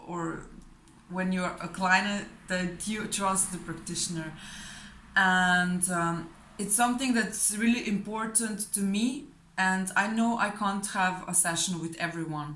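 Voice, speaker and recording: A woman's medium-pitched voice, bright and sharp in tone, with fairly even intonation and audible room echo. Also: fairly slow pace. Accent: non-native. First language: not English. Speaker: client giving a testimonial, fellow hypnosis practitioner. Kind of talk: testimonial. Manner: hesitant, many fillers and repetitions.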